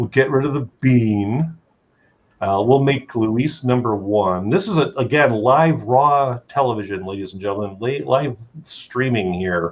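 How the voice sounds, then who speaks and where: This man talks at a fairly slow pace with a medium pitch. His intonation is lively. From Chicago area, US Midwest. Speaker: talk show host. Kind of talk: casual talk show interview. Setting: live stream.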